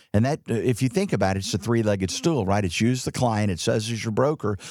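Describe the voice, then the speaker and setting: A man speaks very fast in a fairly low voice, recorded very cleanly against a silent background. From Texas, Dallas. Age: 60s. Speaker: insurance company CEO. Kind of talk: interview.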